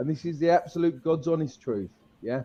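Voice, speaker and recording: A man with a British accent speaks in a dark, mellow tone at a fairly high pitch. His intonation is lively. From UK. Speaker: crypto content creator. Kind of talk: livestream chat. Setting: livestream. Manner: slow.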